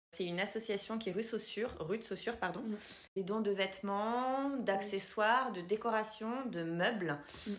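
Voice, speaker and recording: Amid audible room echo, a woman talks at a moderate pace with a fairly high pitch and ordinary pitch variation. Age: 30s. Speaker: podcast host. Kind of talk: casual interview.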